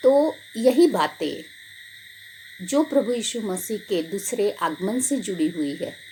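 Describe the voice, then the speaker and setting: Amid noticeable background noise, a woman talks with very wide swings in pitch. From Gujarat, India. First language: Gujarati (speaking Hindi). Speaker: pastor. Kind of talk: sermon. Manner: halting.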